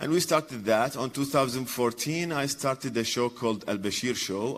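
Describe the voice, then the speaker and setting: Here a man with an Iraqi accent talks at a moderate pace with lively intonation. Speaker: satirist and TV show host. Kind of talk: conference talk. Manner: halting.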